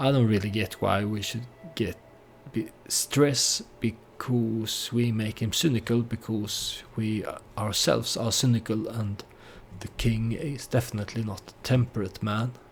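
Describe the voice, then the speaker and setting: A somewhat breathy man at a fairly slow pace, his intonation fairly even. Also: medium pitch for a man. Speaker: gaming video creator. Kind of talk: let's play commentary. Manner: halting.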